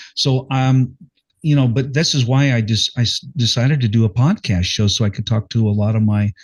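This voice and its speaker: A man speaks at a fairly quick pace in a somewhat breathy voice, his loudness very even throughout. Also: medium pitch for a man, ordinary pitch variation. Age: 60s. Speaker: podcast host, former rock singer. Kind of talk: interview. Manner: animated, stammering.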